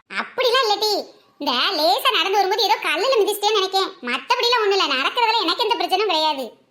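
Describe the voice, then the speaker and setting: In a cartoonish character voice, a woman speaks at an extremely high pitch with lively intonation and very even loudness. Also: fairly quick pace. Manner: blustering, boastful.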